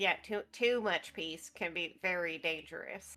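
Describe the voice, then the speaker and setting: A female-sounding voice does a put-on character voice at fairly low pitch for a woman, moving at a moderate pace over faint background music. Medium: actual play.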